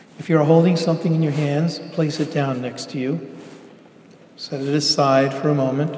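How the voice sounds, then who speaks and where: Against noticeable background noise, a fairly high-pitched man speaks in a gentle, calm tone with monotone, flat intonation. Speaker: pastor. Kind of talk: guided meditation. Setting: church. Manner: slow, calm, soothing, unhurried; gentle, pausing for breaths.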